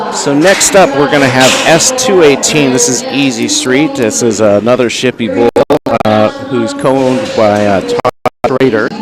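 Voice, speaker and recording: Music plays in the background as a man with an American accent talks at a moderate pace. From US South. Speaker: livestream commentator. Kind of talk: live commentary. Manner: casual, with many fillers.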